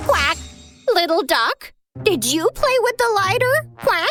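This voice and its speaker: A cartoonish character voice, part of the act, talks at a fairly slow pace with extremely high pitch and very wide pitch swings. Faint music sits in the background. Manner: punctuates every sentence with quacks.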